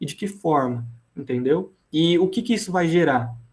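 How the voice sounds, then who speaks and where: A man talks here at a fairly high pitch. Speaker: teacher. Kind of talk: lecture. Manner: fast.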